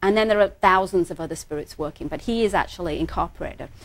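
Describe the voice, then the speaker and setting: A woman with an American accent speaks very fast at a medium pitch, with ordinary pitch variation. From England. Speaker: psychic healer. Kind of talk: TV interview.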